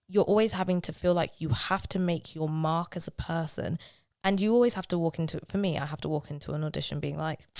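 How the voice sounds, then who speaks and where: With a London accent, a woman talks at a very fast pace with a fairly low pitch and ordinary pitch variation. The recording is very clean, with a silent background. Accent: London street accent, road girl speech. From South London. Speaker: musical theatre actress. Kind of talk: podcast interview. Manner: animated.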